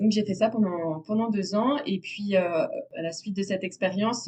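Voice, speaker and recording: A woman with a medium-pitched voice speaks at a moderate pace against noticeable background noise. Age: 20s. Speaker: natural dyer. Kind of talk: interview. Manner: hesitant, many fillers.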